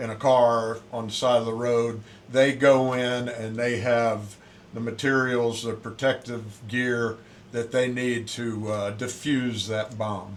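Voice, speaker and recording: Over noticeable background noise, a man talks very slowly at a medium pitch with a Southern US accent and monotone, flat intonation. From US South, Pensacola, Florida. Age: 60s. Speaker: Navy swim and fitness instructor, former SEAL. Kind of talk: casual interview.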